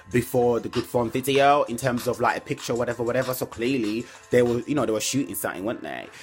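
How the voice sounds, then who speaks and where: A medium-pitched male voice comes through amid noticeable background noise. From mixed, grew up in different places, African British. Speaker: entertainment commentary youtuber. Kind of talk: casual vlog commentary. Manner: animated.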